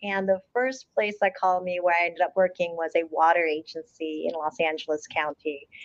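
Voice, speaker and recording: A woman with a Korean accent talks over a quiet background. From South Korea, then US from age eight. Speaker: water agency CEO. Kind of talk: interview. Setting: studio.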